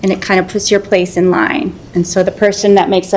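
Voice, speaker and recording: A woman's medium-pitched voice comes through with noticeable noise in the background. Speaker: city water resources manager. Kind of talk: presentation to city council.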